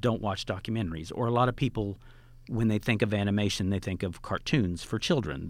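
The man has an unremarkable speaking voice with fairly low pitch. His pitch varies in an ordinary way. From Oklahoma. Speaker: film festival founder. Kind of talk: casual interview. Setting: studio.

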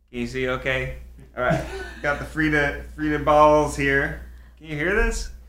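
A man talks at a fairly slow pace with big swings in loudness, noticeable background noise behind him. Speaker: podcast host and father. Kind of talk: casual chat. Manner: animated, joking.

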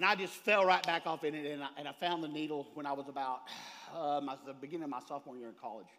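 A man with a Texan accent, talking at a very fast pace in an animated tone. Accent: Texan Southern US. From Texas, rural small town. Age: 40s. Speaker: recovery speaker, recovering drug addict. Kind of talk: recovery testimony talk at a convention. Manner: animated, fired up.

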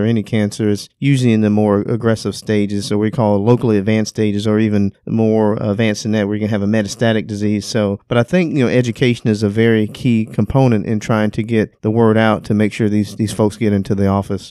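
This man talks at a very fast pace with hardly any pauses, his fairly low voice dark and mellow in tone and his intonation monotone and flat. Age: 50s. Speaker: urologist. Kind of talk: interview.

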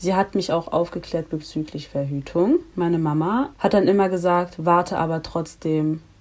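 Here is a woman with an unremarkable speaking voice. Her pitch is fairly low. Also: ordinary pitch variation, moderate pace. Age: 20s. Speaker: student and activist. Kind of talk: casual podcast interview.

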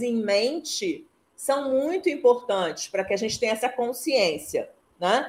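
A woman's high voice at a very slow pace, with very wide pitch swings. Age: 60s. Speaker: mentor and IT consultant. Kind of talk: casual interview. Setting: live stream.

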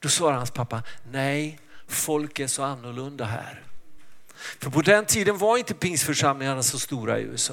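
A man speaks with a plain, everyday voice. His pitch is fairly high with ordinary variation, and his pace is moderate. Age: 60s. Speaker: pastor. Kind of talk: sermon.

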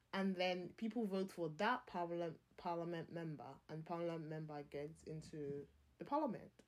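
At a moderate pace, a woman talks in an unremarkable speaking voice, fairly low in pitch with ordinary pitch variation. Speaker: podcast host. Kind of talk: casual chat.

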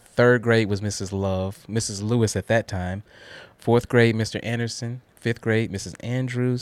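A man with an American accent has a plain, everyday voice at a medium pitch and a moderate pace. His intonation stays fairly even, and the sound is dry and close with no echo. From Guthrie, Oklahoma, US. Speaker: manufacturing systems professional. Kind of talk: casual interview.

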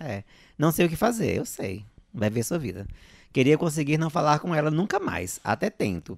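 A man talks at a moderate pace with vocal fry. His fairly high pitch moves in very wide swings. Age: 40s. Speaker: drag performer and co-host. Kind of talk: casual chat.

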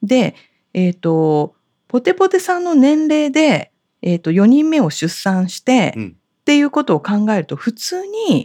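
Dark and mellow in tone, the voice moves at a fairly slow pace with very wide pitch swings in a dry, close sound with no echo. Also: woman, high pitch for a woman. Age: 50s. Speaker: fortune teller and podcast co-host. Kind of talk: casual chat. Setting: office. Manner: dignified.

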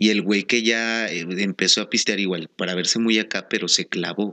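A man with a Mexican accent speaks at a fairly slow pace. His pitch is fairly low, with a bright, sharp tone. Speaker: podcast co-host. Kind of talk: casual chat.

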